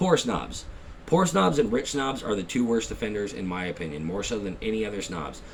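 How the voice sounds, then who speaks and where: A man with an American accent speaks at a fairly quick pace in a fairly low voice with lively intonation and audible room echo. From Texas. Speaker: YouTuber, gear reviewer. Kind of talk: casual vlog rant. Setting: at home at night. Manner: fast.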